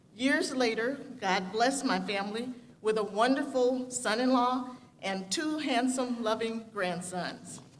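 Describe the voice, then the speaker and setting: Amid audible room echo and noticeable background noise, a high-pitched woman with an American accent speaks fairly slowly with ordinary pitch variation. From US Midwest, Gary, Indiana. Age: 70s. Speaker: graduating student speaker. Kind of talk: commencement speech.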